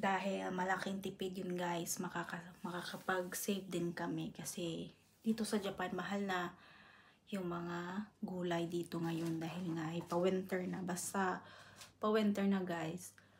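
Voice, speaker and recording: A soft-spoken woman talks in a somewhat breathy voice with monotone, flat intonation. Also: medium pitch for a woman, fairly slow pace. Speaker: vlogger. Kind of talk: casual vlog. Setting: at home. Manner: soft-spoken, lowered voice.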